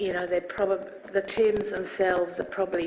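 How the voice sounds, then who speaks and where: A woman with a New Zealand accent speaks at a medium pitch in a monotone, flat intonation, with noticeable background noise. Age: 60s. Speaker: inquiry witness. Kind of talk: testimony. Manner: halting.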